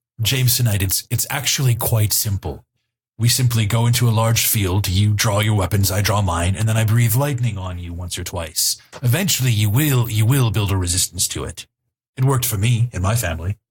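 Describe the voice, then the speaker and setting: A man's put-on character voice at medium pitch and a fairly quick pace, in a very clean recording with a silent background. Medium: actual play. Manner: earnest, blunt.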